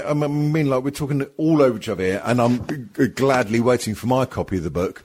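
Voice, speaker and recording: A man's fairly quick, lively-toned delivery with hardly any pauses. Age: 50s. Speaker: podcast host. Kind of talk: casual comedic banter. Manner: bantering, jokey.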